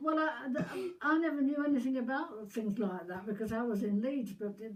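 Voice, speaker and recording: Lively intonation marks a woman speaking with a Yorkshire accent. She goes at a fairly quick pace over noticeable background noise. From Yorkshire, northern England. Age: 90s. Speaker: war veteran. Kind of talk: casual chat. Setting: at home with family, filmed.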